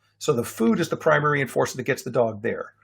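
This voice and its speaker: A somewhat breathy man talks at a fairly quick pace with ordinary pitch variation, in a very clean recording with a silent background. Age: 60s. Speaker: dog trainer. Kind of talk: lecture. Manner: casual, with filler words.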